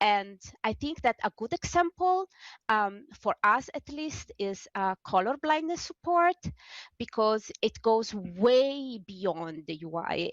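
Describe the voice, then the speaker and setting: A woman at a fairly slow pace, dry and close with no echo, over a quiet background. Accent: non-native. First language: not English. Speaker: game UI developer, accessibility advocate. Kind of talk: panel discussion. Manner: halting, many fillers and restarts.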